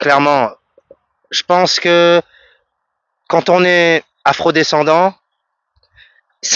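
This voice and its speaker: Pausing long and often, a man speaks very slowly in a fairly high pitch, his intonation fairly even and his loudness very even. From French Guiana. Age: 30s. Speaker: music producer and vocalist. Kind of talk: radio interview answer.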